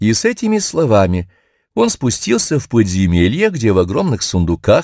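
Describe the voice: Quiet surroundings with plain reading aloud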